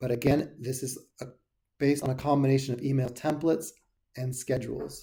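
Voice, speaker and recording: The somewhat breathy, dark, mellow voice moves at a fairly quick pace in a monotone, flat intonation, broken by long, frequent pauses. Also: man, medium pitch for a man. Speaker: software support tutor. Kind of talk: tutorial.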